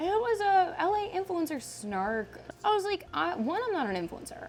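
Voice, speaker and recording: A woman's voice moves through very wide pitch swings. Music plays in the background. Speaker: comedian and internet personality. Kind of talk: casual chat.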